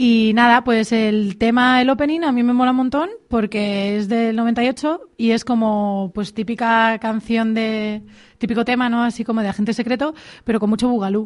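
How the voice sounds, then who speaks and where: A woman talks at a moderate pace in a fairly high pitch. She has a plain, everyday voice with fairly even intonation. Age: 30s. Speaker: radio contributor on TV series. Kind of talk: casual radio chat.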